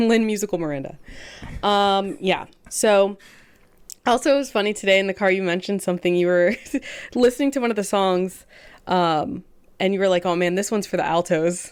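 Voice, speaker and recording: Speaking at a fairly quick pace with long, frequent pauses, a woman uses ordinary pitch variation on a very clean recording with a silent background. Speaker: podcast co-host. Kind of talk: casual chat.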